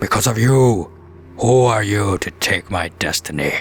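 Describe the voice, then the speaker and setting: A man uses a put-on character voice. He speaks at a fairly slow pace, with clear background noise behind him. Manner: menacing, grandiose.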